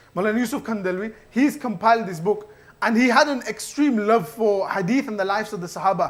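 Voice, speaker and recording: A man's high voice with ordinary pitch variation, a fairly quick pace and noticeable background noise. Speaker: mosque youth speaker. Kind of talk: religious talk. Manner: fast; casual.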